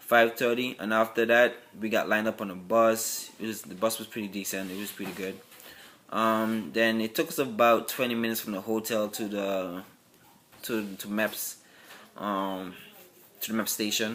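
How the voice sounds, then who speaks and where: A man with a Virgin Islands accent at a moderate pace, his intonation fairly even but his loudness swinging widely. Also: medium pitch for a man. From US Virgin Islands. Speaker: military applicant vlogger. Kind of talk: casual vlog. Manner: halting.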